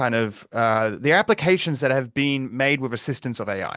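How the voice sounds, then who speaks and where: This man has a New Zealand accent and a medium-pitched voice with lively intonation. He speaks at a moderate pace against a quiet background. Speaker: security researcher and advocate. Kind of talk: webinar presentation. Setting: live online webinar.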